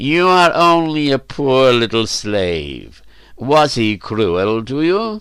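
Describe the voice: A man's put-on character voice, medium in pitch, slow in pace, with a clear, smooth, fairly bright tone and big pitch swings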